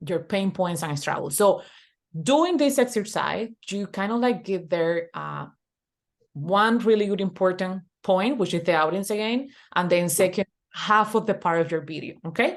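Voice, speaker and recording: Over a quiet background, a woman with a Spanish accent speaks at a medium pitch with lively intonation. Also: moderate pace. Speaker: online business coach. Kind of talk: webinar tutorial. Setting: video call. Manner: halting, repetitive.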